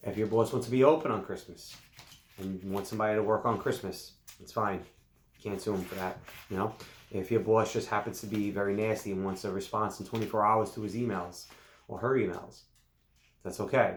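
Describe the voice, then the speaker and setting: Fairly quick, fairly low male speech with fairly even intonation and audible room echo. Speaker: lawyer. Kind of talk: legal explainer video. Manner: fast; casual, conversational.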